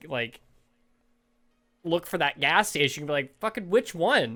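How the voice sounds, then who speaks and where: An animated tone and a Canadian accent come through in a very clean recording with a silent background. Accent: Canadian, long O's. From Canada, Toronto area. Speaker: podcast co-host. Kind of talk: casual chat.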